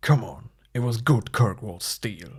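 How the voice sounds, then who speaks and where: Using a put-on character voice, a man talks at a fairly slow pace. His medium-pitched delivery has lively intonation. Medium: read story. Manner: gruff, clipped.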